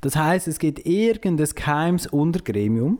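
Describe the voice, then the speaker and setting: At a fairly slow pace, a man with fairly high pitch speaks with lively intonation. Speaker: podcast co-host and poetry slam moderator. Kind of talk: casual chat.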